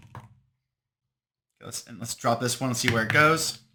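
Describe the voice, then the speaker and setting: Music plays in the background. A man speaks at medium pitch and a moderate pace. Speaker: tabletop game designer demonstrating product. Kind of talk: tutorial. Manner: casual, thinking aloud.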